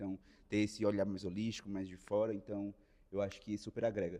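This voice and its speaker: Speaking at a very fast pace with a Ceará accent, a man with a fairly low pitch delivers his words in a dark, mellow tone with monotone, flat intonation. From Ceará, Brazil. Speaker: management trainee. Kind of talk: casual interview chat.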